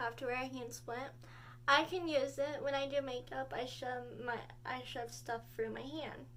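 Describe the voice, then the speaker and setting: At a moderate pace, a woman talks in a space with audible room echo. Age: 18. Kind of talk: casual vlog talk. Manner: halting.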